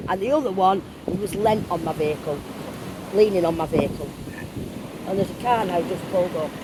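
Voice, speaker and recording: A woman at medium pitch with ordinary pitch variation and a fairly quick pace, broken by long, frequent pauses, amid noticeable background noise and audible room echo. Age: 60s. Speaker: urban explorer. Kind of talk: phone call to police.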